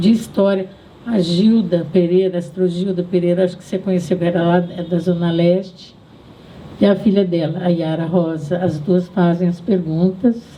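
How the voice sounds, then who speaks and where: A woman's voice over noticeable background noise. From Brazil, Southeast. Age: 80s+. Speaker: feminist activist and writer. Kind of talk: public talk. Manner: halting.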